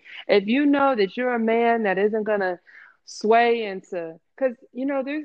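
A woman with an unremarkable speaking voice talks at a moderate pace, her pitch fairly high and her pitch variation ordinary. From Maryland, US (Waldorf, St. Mary's County). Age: young. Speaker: podcast guest, former receptionist. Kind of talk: casual interview chat.

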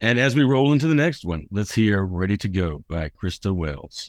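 Against a quiet background, a man with a fairly low voice speaks with very wide pitch swings. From US South. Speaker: radio host. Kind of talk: radio interview show. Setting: studio. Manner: animated, joking.

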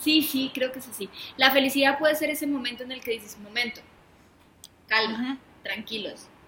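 A woman with a Mexican accent speaks in a raised, projected voice at a high pitch and a fairly quick pace, with long, frequent pauses. Her intonation is fairly even, while her loudness swings widely. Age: 30s. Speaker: podcast co-host. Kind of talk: casual chat.

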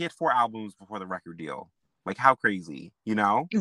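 Recorded very cleanly, with a silent background and a dry, close sound with no echo, a man uses lively intonation at a fairly low pitch with a bright, sharp tone. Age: 20s. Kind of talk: casual chat. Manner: animated, laughs often.

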